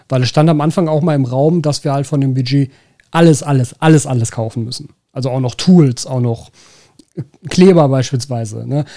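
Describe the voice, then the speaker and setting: With a Ruhr accent, a man speaks at a moderate pace and a fairly high pitch, his tone dark and mellow, his pitch varying in an ordinary way, and his speech broken by long, frequent pauses. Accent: Ruhr area German. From Ruhr area, Germany. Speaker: podcast host, aquascaping shop owner. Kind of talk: casual chat.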